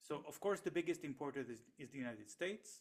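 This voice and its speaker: A man with an Israeli accent at a fairly quick pace. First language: Hebrew. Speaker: economist and researcher. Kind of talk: interview. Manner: halting, many fillers and repetitions.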